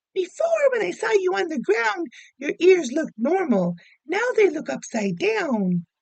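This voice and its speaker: In a put-on character voice, a woman squeaks at an extremely high pitch with very wide pitch swings, keeping a moderate pace. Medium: read story.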